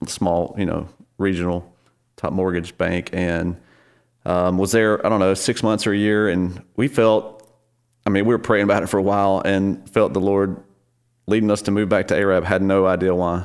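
A man's very deep, low voice with a Southern US accent, flat and monotone at a moderate pace with long, frequent pauses, in a very clean recording with a silent background. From northern Alabama. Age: 40s. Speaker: church worship leader. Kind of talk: casual interview.

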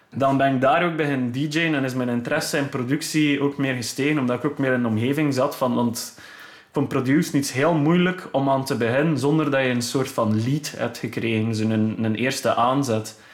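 In a plain, everyday voice, a man talks at a medium pitch, his intonation fairly even. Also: moderate pace. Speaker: electronic music producer and DJ. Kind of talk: casual interview. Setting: home studio.

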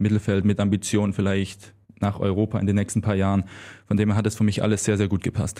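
Speaking very fast in a Swabian accent, a man with a fairly low pitch and a dark, mellow tone keeps a monotone, flat intonation and very even loudness on a very clean recording with a silent background. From Swabia, Germany. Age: 20s. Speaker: handball player. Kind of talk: interview.

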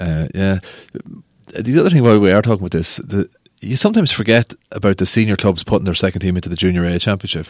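A very fast delivery in a Cavan Irish accent, with ordinary pitch variation and a dry, close sound free of echo. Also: man, fairly low pitch for a man. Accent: Irish (Ulster, Cavan). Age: 30s. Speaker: sports editor of a local newspaper. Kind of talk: casual chat.

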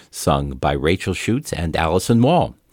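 A man's very deep, low voice with vocal fry, at a fairly slow pace, on a very clean recording with a silent background. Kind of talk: classical radio announcing. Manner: formal, polished, measured; clear, even, unhurried.

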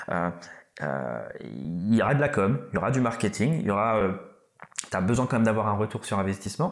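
A man with vocal fry talks at a moderate pace in a fairly low voice, his intonation lively and his loudness very even. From Réunion, Malagasy heritage. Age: 30s. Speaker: rapper. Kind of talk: casual interview.

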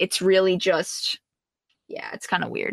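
In a Canadian accent, a woman speaks in an unremarkable speaking voice at a medium pitch, with a dry, close sound with no echo. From Canada. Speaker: streamer. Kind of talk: casual interview chat.

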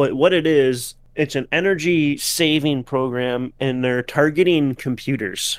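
Over a very clean recording with a silent background, a man with a fairly high pitch speaks at a fairly slow pace in an ordinary speaking voice, with ordinary pitch variation. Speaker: podcast co-host. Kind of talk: casual chat.

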